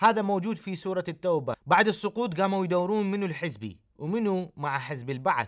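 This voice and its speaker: With an Iraqi accent, a man speaks at a high pitch with lively intonation and hardly any pauses. The background is quiet. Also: moderate pace. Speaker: pastor and TV host; pastor, TV host. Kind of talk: TV commentary. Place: studio.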